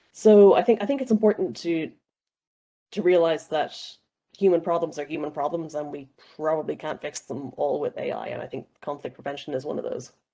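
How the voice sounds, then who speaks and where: A woman speaks at a fairly quick pace with an Irish accent, her dark, mellow tone set fairly low in pitch, with lively intonation and big swings in loudness. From Ireland. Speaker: panelist. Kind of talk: panel discussion.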